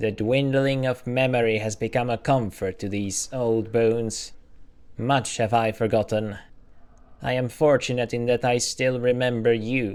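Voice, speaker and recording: A man talks in a put-on character voice at a moderate pace. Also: medium pitch for a man. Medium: game stream. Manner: archaic, inverted phrasing.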